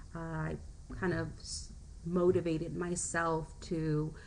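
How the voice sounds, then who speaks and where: Audible room echo carries the very slow speech. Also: woman. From US, Mexican-American family. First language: Spanish. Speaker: teacher. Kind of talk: personal presentation. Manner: halting, many fillers.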